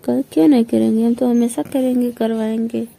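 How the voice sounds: At a fairly quick pace, a woman with a fairly high pitch and a dark, mellow tone speaks with fairly even intonation and vocal fry.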